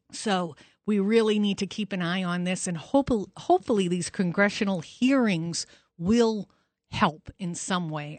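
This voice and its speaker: Over a quiet background, a woman talks at a moderate pace and medium pitch with ordinary pitch variation, in a plain, everyday voice. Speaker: fill-in radio host, doctor. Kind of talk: talk radio monologue with callers. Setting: studio.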